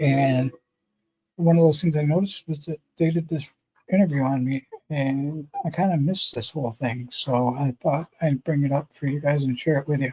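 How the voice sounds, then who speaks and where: A man speaks somewhat breathily with fairly even intonation in a dry, close sound with no echo. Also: moderate pace. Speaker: motorcycle builder and streamer. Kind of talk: casual live stream chat. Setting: live stream, remote with green screen. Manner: halting, many filler words.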